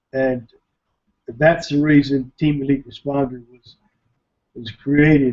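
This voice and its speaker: Against a quiet background, a dark, mellow voice moves at a fairly slow pace. Long pauses come often. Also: man. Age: 60s. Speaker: internet marketer, webinar presenter; webinar presenter. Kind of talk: webinar presentation. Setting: online webinar. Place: home room. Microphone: webcam.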